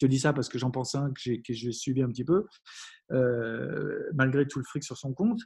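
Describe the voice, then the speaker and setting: Ordinary variation marks a man's pitch. He talks fairly slowly. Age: 40s. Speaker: happiness coach and entrepreneur. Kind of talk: interview. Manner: halting, many fillers and restarts.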